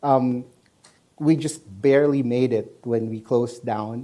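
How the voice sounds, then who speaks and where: Medium-pitched male voice, dark and mellow, with ordinary pitch variation. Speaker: infectious disease doctor. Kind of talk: panel discussion.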